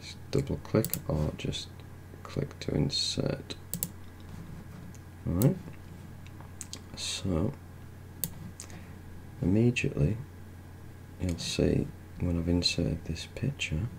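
A soft-spoken man talks very slowly with a very deep, low pitch. Long, frequent pauses break up his speech over noticeable background noise. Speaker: ASMR tech tutorial host. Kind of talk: soft-spoken ASMR tutorial narration. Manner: soft-spoken, slow, calm.

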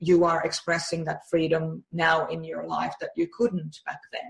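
A woman is speaking. Her pace is fairly slow. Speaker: personality-type coach and program creator. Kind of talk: interview. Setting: remote call. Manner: warm, effusive. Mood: warm, empathetic. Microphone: video call.

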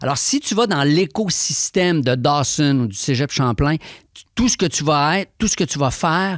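A man speaks at a moderate pace with a fairly high pitch and lively intonation against a quiet background. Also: dry sound with no echo. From Quebec. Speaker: rapper and author; guest. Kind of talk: interview. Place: studio. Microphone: studio mic.

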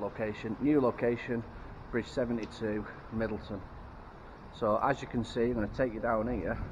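Intonation stays fairly even as a man speaks at a moderate pace, with noticeable background noise behind him. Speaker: magnet fishing vlogger. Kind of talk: casual vlog chat. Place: waterside. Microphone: phone near.

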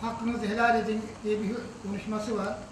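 Over noticeable background noise and audible room echo, a man speaks at a moderate pace in monotone, flat intonation. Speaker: husband celebrating anniversary. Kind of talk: speech to family at anniversary dinner. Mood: warm, reflective, grateful. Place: hall. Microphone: camera far.

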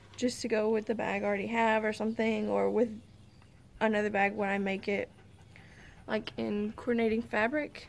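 A woman with a Southern US accent speaks at a fairly high pitch and moderate pace over light background noise. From US South, Arkansas. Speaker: podcast host. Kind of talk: casual chat. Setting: outdoors. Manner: rambling, frequent laughs. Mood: relaxed, cheerful. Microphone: phone near.

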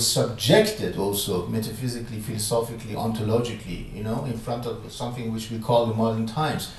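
A man talks at a very fast pace. Room echo is audible around his voice. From Iran. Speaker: philosopher and professor; professor. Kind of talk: public conversation with audience Q&A. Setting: lecture room with audience. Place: hall.

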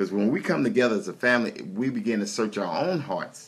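With ordinary variation in pitch, a man talks at a fairly quick pace. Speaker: minister praying. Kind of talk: fervent prayer. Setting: online video prayer session. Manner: fervent, call-and-response. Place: home room. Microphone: phone near.

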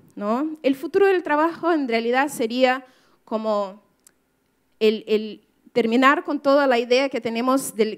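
In a quiet setting, a woman with a Brazilian accent speaks in a high voice at a fairly slow pace with ordinary pitch variation. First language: Portuguese (speaking Spanish). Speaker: writer and activist; speaker. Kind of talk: talk to an audience. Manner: halting, many fillers. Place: hall. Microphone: podium.

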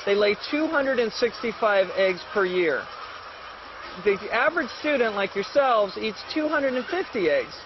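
Speaking at a very slow pace, the voice has lively intonation in an American accent. Noticeable background noise is audible. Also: man, extremely high pitch for a man. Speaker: egg farmer. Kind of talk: live educational Q&A.

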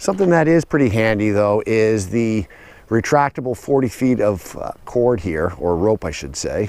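Man speaking at a moderate pace with lively intonation, the sound dry with no echo. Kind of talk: tutorial walkthrough. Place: garden. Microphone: phone near.

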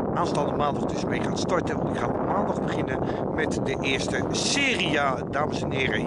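The sound is dry, without any echo. A man's voice competes with loud background noise. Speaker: vlogger. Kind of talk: casual vlog chat. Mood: squinting, animated. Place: waterside. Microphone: phone near.

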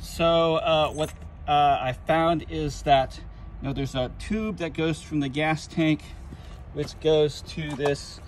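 Recorded dry with no echo and light background noise, a man talks at a fairly slow pace. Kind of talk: tutorial. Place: street. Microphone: phone near.

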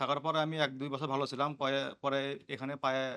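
A man's medium-pitched, fairly even delivery in an ordinary speaking voice. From Bangladesh, Bogura district. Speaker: patient. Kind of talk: testimony.

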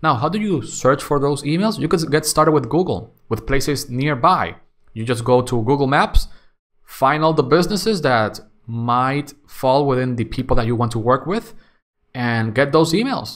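In an ordinary speaking voice, a man talks at a moderate pace with a fairly high pitch and lively intonation against a quiet background. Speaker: YouTube content creator. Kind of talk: solo Q&A monologue. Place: home room.

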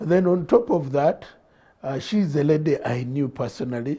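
At a moderate pace, a man speaks in a fairly high, somewhat breathy voice with a dark, mellow tone and lively intonation, over a quiet background. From Uganda. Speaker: politician. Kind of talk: studio interview. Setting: studio. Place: studio. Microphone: lapel.

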